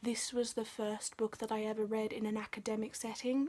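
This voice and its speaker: Soft-spoken and fairly high in pitch, a woman talks at a moderate pace with monotone, flat intonation. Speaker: book vlogger. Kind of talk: casual video review. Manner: quiet, soft-spoken.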